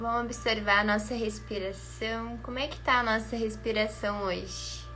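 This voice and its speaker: A soft-spoken woman talks at a moderate pace. Music plays in the background, and room echo is audible. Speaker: spiritual beauty coach. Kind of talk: guided meditation; casual chat.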